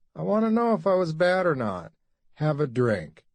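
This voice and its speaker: Against a quiet background, a man uses a put-on character voice at a fairly high pitch, swinging very widely in pitch at a moderate pace. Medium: read story. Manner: anxious, needy.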